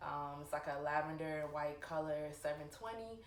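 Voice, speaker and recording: Amid noticeable background noise and audible room echo, a woman with a very deep, low pitch talks at a moderate pace. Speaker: sneaker vlogger. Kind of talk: casual vlog talk. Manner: lots of filler ums.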